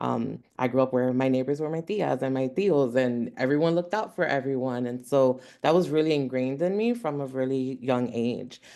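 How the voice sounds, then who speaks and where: Someone with a Philadelphia accent speaks at a moderate pace with hardly any pauses. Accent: Philadelphia American English. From Philadelphia (Hunting Park). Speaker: congressional staffer. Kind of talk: panel discussion.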